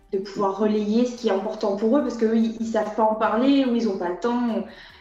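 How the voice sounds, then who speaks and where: Fairly quick and monotone, with flat intonation, a woman speaks at a fairly high pitch amid noticeable background noise and audible room echo. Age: 30s. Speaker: community manager. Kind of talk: interview. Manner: halting, many repetitions and fillers.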